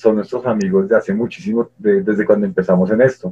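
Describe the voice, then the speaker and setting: A man speaks in a fairly low voice with ordinary pitch variation. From Colombia. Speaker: nurse and cannabis activist, online radio co-founder. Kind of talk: interview. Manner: halting, many fillers and repetitions.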